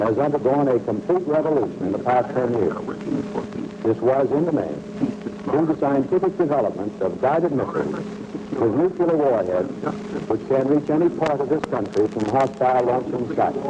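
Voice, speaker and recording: A man at a moderate pace with very wide pitch swings and very even loudness, over noticeable background noise. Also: fairly high pitch for a man. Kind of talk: vintage civil defense announcement read. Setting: old-time radio broadcast. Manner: formal, grave, authoritative.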